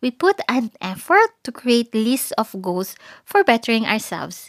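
Recorded with a dry, close sound and no echo, a woman talks at a moderate pace in a high pitch. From Philippines. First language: Filipino (Tagalog). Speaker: podcast host. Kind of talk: solo podcast talk, casual reflective. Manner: code-switching English and Tagalog.

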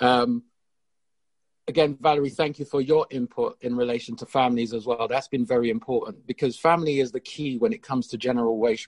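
A man's normal speaking voice at medium pitch, moderate pace and fairly even intonation, with a dry, close sound and no echo. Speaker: audience participant. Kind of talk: webinar discussion.

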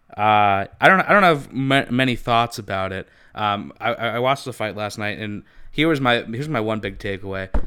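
This man talks at a fairly quick pace and medium pitch, with ordinary pitch variation and a bright, sharp tone, in a very clean recording with a silent background. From California, US. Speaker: podcast co-host. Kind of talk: casual chat. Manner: animated.

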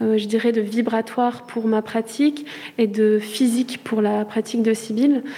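Speaking fairly slowly in a flat monotone, a woman with a fairly high voice keeps her loudness very even while noticeable background noise runs underneath. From Charente-Maritime, France. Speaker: visual artist in residence. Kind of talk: interview.

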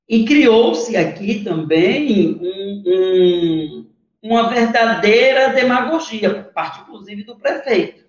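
A man with a high pitch talks at a very slow pace with hardly any pauses. His intonation is lively, and his loudness swings widely. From Brazil, Recife. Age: 40s. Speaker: left-wing party leader. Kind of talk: interview. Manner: hesitant, many fillers.

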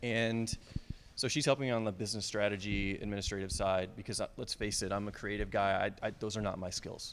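A man with an ordinary speaking voice talks fairly quickly at a fairly low pitch with fairly even intonation. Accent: American. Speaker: video production business owner. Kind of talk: casual interview chat.

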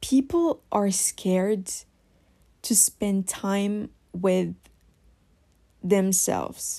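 A woman with a French accent speaks very slowly in a medium-pitched, dark, mellow voice, with ordinary pitch variation. She leaves long, frequent pauses on a very clean recording with a silent background. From France. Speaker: podcast host. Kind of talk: solo podcast monologue. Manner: hesitant, many fillers.

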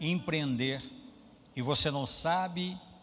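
In a room with audible echo, a man with a Brazilian accent speaks at a very slow pace with lively intonation. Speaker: pastor. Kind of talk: sermon.

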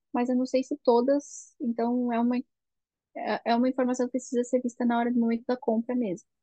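A woman speaks at a fairly quick pace in a high voice with a dark, mellow tone, recorded dry and close with no echo. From Brazil. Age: 20s. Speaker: chemical engineer, Brazilian immigrant. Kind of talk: podcast interview.

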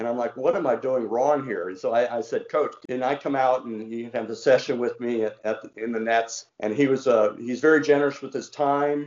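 A man with a slight Southern US accent talks at a fairly quick pace with hardly any pauses, his pitch in the medium range. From Washington D.C., US. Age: 60s. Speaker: former mayor, cricket enthusiast. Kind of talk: casual interview. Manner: friendly, enthusiastic.

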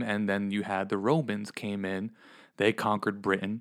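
On a very clean recording with a silent background, a man with an American accent speaks in a fairly low pitch with monotone, flat intonation. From Pennsylvania, US Northeast. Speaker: church children's ministry leader. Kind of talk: religious podcast discussion. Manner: halting, many restarts and fillers.

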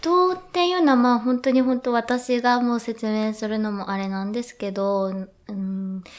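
A woman talks at a moderate pace in an ordinary speaking voice with lively intonation. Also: fairly high pitch for a woman. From Yokohama, Kanagawa, Japan. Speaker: contemporary dancer. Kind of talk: casual interview chat. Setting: hotel studio, live stream.

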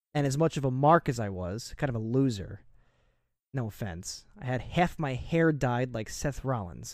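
Using an unremarkable speaking voice with an American accent, a man speaks at a medium pitch and moderate pace with lively intonation. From New Jersey. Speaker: wrestling podcast co-host. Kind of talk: casual chat.

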